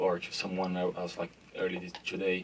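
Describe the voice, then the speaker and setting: Over noticeable background noise, a man with a Brazilian Portuguese accent speaks at a fairly low pitch. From Brazil, São Paulo. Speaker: sports brand marketing executive. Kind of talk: panel discussion. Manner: hesitant, many fillers.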